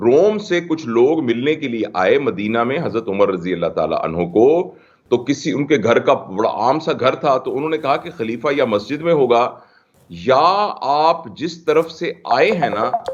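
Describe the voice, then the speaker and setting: Using vocal fry, a man speaks in a fairly high voice with very wide pitch swings. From Pakistan. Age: 60s. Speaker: scholar and expert guest. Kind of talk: TV talk show interview.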